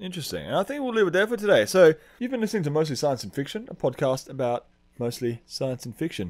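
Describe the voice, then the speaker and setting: Fairly high in pitch, a man speaks with an Australian accent. He talks at a very fast pace with very wide pitch swings. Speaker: podcast host. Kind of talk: casual chat.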